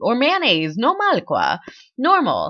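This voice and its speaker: A woman's raised, projected voice in an American accent, high and bright with a sharp tone, animated, with very wide pitch swings at a fairly slow pace. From Texas. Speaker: vlogger. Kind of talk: casual vlog monologue. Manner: halting, many fillers.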